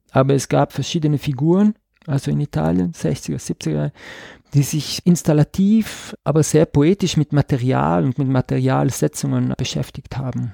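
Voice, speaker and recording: A man speaks at a moderate pace against a quiet background, the sound dry and close with no echo. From South Tyrol, Ladin-speaking valley. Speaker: visual artist. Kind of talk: interview. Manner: hesitant, many fillers.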